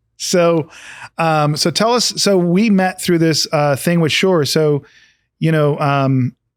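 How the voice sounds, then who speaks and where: In a very clean recording with a silent background, a man speaks very slowly at a fairly high pitch, with ordinary pitch variation and very even loudness. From England. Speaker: podcast host. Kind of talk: casual interview chat.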